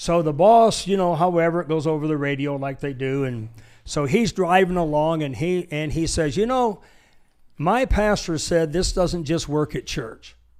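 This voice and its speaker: With an American accent, a man uses a plain, everyday voice at a fairly high pitch, a moderate pace and ordinary pitch variation. The recording is very clean, with a silent background. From Michigan, US. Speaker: pastor and military veteran. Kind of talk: casual chat. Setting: studio.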